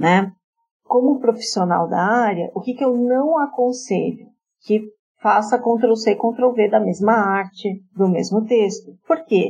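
Speaking at a fairly slow pace, a woman sounds somewhat breathy, with ordinary pitch variation. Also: fairly high pitch for a woman. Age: 40s. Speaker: journalist and marketing project manager. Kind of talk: interview.

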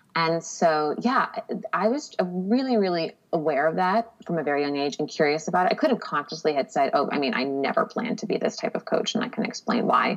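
A woman talks at a fairly quick pace with very wide pitch swings. Noticeable background noise is present. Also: medium pitch for a woman. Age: 30s. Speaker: podcast guest, writer. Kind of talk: casual interview chat.

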